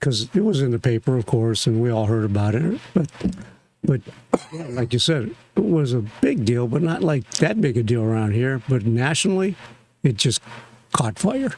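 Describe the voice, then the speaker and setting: A man with a Northern Ohio accent talks at a moderate pace in a medium-pitched voice, his intonation lively and his pauses long and frequent. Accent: Northern Ohio American. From US Midwest, Lorain, Ohio. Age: 70s. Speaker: attorney. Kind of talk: casual chat.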